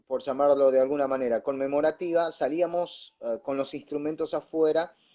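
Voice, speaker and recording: In a Rioplatense accent, a man speaks with a fairly high pitch and a dark, mellow tone. His intonation is fairly even and his pace moderate. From Buenos Aires suburbs, Argentina. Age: young. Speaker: pastor and radio announcer. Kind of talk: interview answer.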